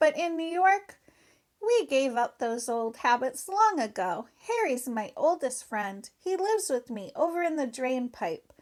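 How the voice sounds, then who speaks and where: A woman does a put-on character voice, high-pitched and squeaky, with very wide pitch swings. The recording is very clean, with a silent background. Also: moderate pace. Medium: read story. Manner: slangy, breezy.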